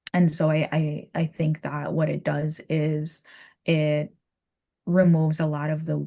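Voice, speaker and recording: In a Virgin Islands accent, a woman speaks with a very deep, low pitch, monotone flat intonation, a dark, mellow tone and a somewhat breathy quality. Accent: Virgin Islands Caribbean. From US Virgin Islands. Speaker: Caribbean culture and spirituality guest. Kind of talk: podcast interview.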